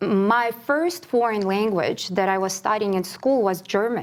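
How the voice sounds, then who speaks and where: Speaking at a fairly slow pace, a woman with a Ukrainian accent uses a fairly high pitch. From Ukraine. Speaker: classical singer. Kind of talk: interview.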